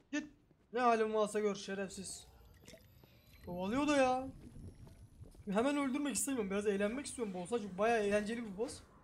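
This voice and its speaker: A man's high voice, with ordinary pitch variation and long, frequent pauses, carries an audible room echo. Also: moderate pace. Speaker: gaming streamer. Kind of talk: gameplay commentary. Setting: small room. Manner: animated.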